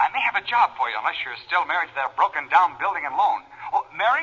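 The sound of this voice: Using a put-on character voice, a man talks at a fast pace with a fairly high pitch, big pitch swings, a bright, sharp tone and a husky, rough edge.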